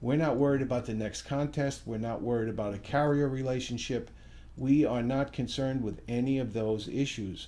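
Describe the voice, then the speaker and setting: Heard with audible room echo, a man at a medium pitch speaks with fairly even intonation and a dark, mellow tone. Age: 60s. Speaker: financial services company founder. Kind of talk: promotional talk to camera.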